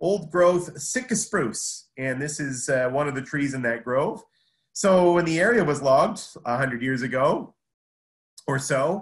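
A man talks at a fairly slow pace with lively intonation and a somewhat breathy quality. The background is quiet. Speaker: horticulture instructor presenting. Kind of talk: lecture. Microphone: video call.

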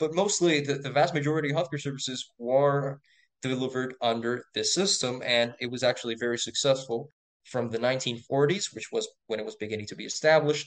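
A man with a Spanish accent talks at a fairly quick pace and medium pitch, with ordinary pitch variation. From Puerto Rico. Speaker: medical student. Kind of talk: interview. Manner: frequent fillers and repetitions.

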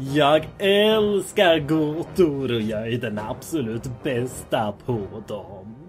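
A man performs a put-on character voice at a medium pitch. Clear background noise is present. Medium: dub.

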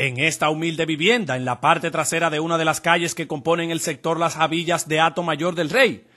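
Against a quiet background, a man with a normal speaking voice talks fairly quickly at a fairly high pitch with ordinary pitch variation. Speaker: TV news reporter. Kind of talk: TV news report narration.

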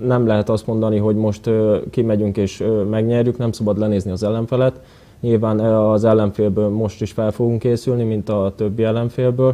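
A man speaks in a monotone with flat intonation. His pitch is fairly low. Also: moderate pace. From Hungary. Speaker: footballer; guest. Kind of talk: TV interview. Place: studio. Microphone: lapel.

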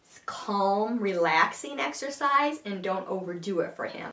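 Noticeable room echo surrounds a woman as she talks. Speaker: blogger. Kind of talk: casual vlog chat. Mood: calm, warm, informative. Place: home room. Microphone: camera far.

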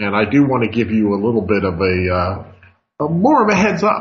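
A man speaks at a moderate pace in a somewhat breathy voice. Light background noise sits behind him. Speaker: radio show host, market analyst. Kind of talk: radio commentary.

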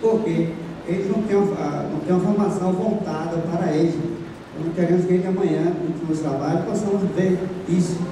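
Noticeable background noise and strong room echo surround a man's voice. He speaks with a high pitch, fairly even intonation and a moderate pace. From Bahia, Brazil. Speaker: adult education student and pastor. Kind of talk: audience intervention at a conference. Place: hall.

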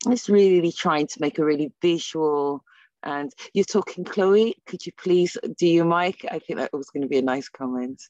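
A woman talks in a normal speaking voice, fairly low in pitch with ordinary pitch variation, at a moderate pace. The sound is dry with no echo, over a quiet background. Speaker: ESOL teacher. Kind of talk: presentation at an online teacher meetup. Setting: video call. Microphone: video call.

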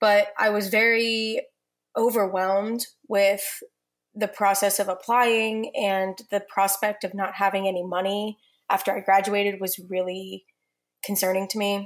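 Speaking at a fairly slow pace with an American accent, a woman keeps a medium pitch and flat, monotone intonation. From western Pennsylvania. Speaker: law student. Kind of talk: podcast interview.

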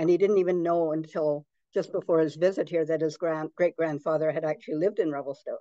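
Fairly quick delivery with fairly even intonation, a dry sound with no echo and a quiet background. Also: woman. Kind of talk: presentation talk with anecdotes. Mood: warm, storytelling. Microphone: video call.

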